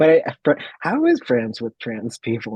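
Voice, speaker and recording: With lively intonation and a somewhat breathy voice, a man talks at a moderate pace. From Chile. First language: Spanish. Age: 20s. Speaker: filmmaker. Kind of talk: interview.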